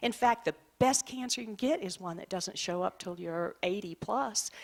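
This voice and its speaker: On a very clean recording with a silent background, a woman with a plain, everyday voice speaks at a moderate pace and medium pitch, her intonation lively. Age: 60s. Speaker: clinical social worker and author. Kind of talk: presentation to an audience.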